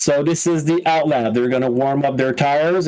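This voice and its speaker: With a slight French Canadian accent, a man talks at a fairly quick pace in a fairly high voice. His intonation stays fairly even, and there is noticeable background noise. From Quebec. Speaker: sim racing commentator. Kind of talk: live commentary. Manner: halting.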